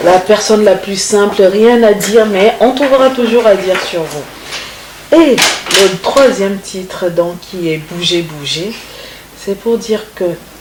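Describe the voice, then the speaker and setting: Through noticeable background noise, a woman speaks at a very slow pace with a medium pitch and ordinary pitch variation. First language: Congolese language (speaking French). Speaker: singer. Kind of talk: interview. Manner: halting.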